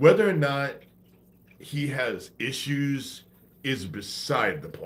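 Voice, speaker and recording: A man with a fairly high pitch speaks with vocal fry, and audible room echo surrounds his voice. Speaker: conspiracy livestreamer. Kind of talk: livestream monologue. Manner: slow cadence.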